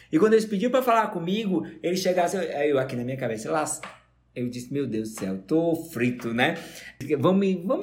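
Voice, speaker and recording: A man at a very fast pace, with very wide pitch swings and audible room echo. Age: 40s. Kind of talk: casual chat.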